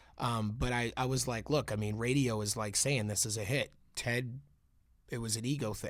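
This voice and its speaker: This man's voice sits at a medium pitch, and his intonation is fairly even. He goes at a moderate pace on a very clean recording with a silent background. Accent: American. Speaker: rapper. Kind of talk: casual interview chat.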